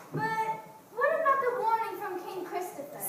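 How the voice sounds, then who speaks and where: At a moderate pace, a put-on character voice comes through squeaky and extremely high-pitched, with clear echo and clear background noise. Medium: stage play. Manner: timid, deferential.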